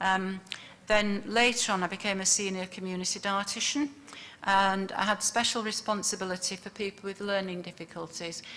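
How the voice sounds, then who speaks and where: Delivered in a Yorkshire accent, the voice has a bright, sharp tone. The intonation stays fairly even. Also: woman, medium pitch for a woman, moderate pace. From northern England, Yorkshire (Leeds). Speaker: public health dietitian. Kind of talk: conference presentation. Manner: hesitant, many fillers.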